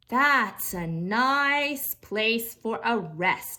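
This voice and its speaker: A woman puts on a character voice. Her pitch sits fairly high. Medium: read story. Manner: sing-song street calling.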